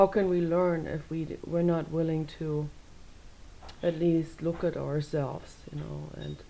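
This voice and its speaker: A woman with a German accent talks at a fairly slow pace in a very deep, low pitch, her intonation monotone and flat while her loudness swings widely. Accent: German accent, improving. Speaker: video blogger. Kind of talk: casual vlog monologue.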